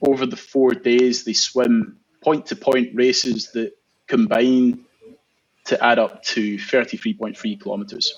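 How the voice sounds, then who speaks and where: With a Scottish accent, a man speaks at a fairly slow pace. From Scotland. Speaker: marathon swimmer. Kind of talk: interview answer.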